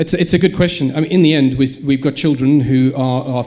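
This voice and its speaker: A man with a South African accent talks at a fairly quick pace and a fairly high pitch. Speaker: school head. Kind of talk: panel discussion. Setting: stage with audience. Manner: halting, many repetitions.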